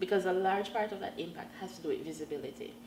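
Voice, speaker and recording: A woman's fairly low pitch with ordinary pitch variation, against noticeable background noise. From Jamaica. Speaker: LGBTQ activist. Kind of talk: interview answer.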